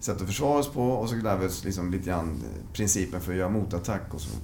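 Lively intonation and a very fast pace come through with audible room echo. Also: man. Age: 50s. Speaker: veteran fencer. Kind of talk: interview.

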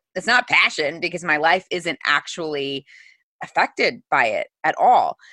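A woman talks at a fairly slow pace with a Midwestern American accent. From US Midwest, Missouri. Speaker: author and entrepreneur. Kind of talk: interview.

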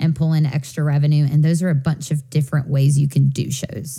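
Somewhat breathy, a woman's voice sits at a very deep, low pitch with a dark, mellow tone. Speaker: podcast host. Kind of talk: casual podcast chat. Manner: animated.

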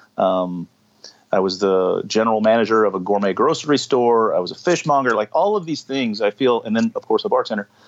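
A man with an ordinary speaking voice, fairly quick pace and ordinary pitch variation, in a dry, close sound with no echo. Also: medium pitch for a man. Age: 50s. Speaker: bar owner. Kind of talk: casual chat. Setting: video call.

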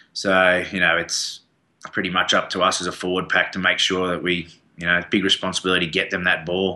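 Against a quiet background, a man with an Australian accent talks fairly quickly in a monotone, flat voice that is very deep and low in pitch yet bright and sharp in tone. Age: 30s. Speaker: professional rugby player. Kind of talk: casual interview. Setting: studio.

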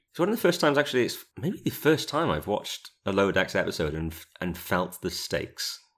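A man at a fairly quick pace and medium pitch, with vocal fry and very wide pitch swings, on a very clean recording with a silent background. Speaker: podcast co-host. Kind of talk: casual chat podcast discussion. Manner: chatty, joking.

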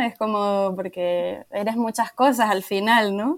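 With a Canarian accent, a woman speaks at a fairly slow pace with ordinary pitch variation. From Canary Islands, Tenerife. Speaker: travel planner. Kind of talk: interview.

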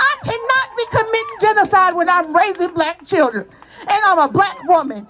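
A woman with a Southern US accent speaks at a moderate pace with lively intonation over noticeable background noise. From US South, Mississippi. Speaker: reproductive rights activist. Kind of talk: interview; rally speech. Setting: outdoor rally. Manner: animated.

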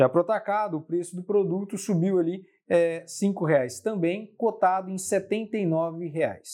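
A man talks at a fairly slow pace with a high pitch and ordinary pitch variation. His Brazilian accent comes through in a dark, mellow tone. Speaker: market analyst. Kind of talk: formal newsreading of market report, scripted-style briefing. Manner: formal, steady, measured, with occasional filler hesitations.

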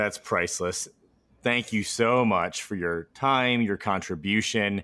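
Speaking at a fairly slow pace, a man with a fairly low pitch and ordinary pitch variation comes through in a very clean recording with a silent background. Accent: Midwestern American. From US Midwest. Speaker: podcast host. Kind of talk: interview.

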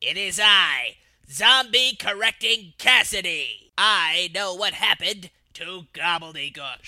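Middle-pitched put-on character voice, fairly slow in pace. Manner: theatrical, then guilty.

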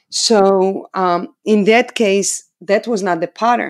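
A woman talks very slowly at a medium pitch with ordinary pitch variation. The recording is very clean, with a silent background. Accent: Israeli. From Israel. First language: Hebrew. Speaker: dog trainer. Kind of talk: interview. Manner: animated.

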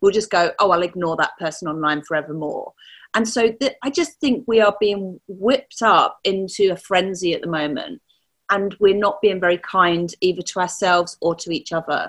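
A woman with a plain, everyday voice, medium pitch, lively intonation and a moderate pace. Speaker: community engagement strategist and business mentor. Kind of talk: interview conversation.

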